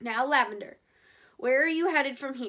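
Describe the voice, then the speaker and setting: A woman puts on a raspy character voice, high in pitch with ordinary pitch variation. She talks at a moderate pace. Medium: read story. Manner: firm, plainspoken.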